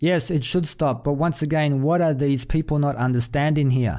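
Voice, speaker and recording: The man's voice sits at a fairly high pitch. His tone is dark and mellow. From outside the US. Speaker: YouTube commentator. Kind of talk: rant. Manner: animated.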